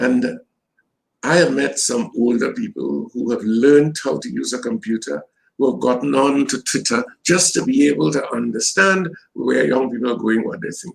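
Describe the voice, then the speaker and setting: A man with a Trinidadian accent at a moderate pace. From Trinidad and Tobago. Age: 70s. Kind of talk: interview.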